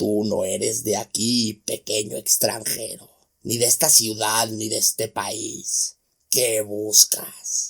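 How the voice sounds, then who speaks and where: A man puts on a character voice that is raspy, hoarse and growling, at a medium pitch. He speaks at a very slow pace. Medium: read story. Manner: gruff, bitter.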